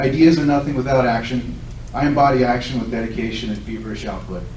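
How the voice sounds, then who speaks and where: A man speaks at a very fast pace, with audible room echo and noticeable background noise. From Southern California. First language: Lithuanian. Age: 40s. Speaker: political candidate. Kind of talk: candidate forum speech. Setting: public event with audience.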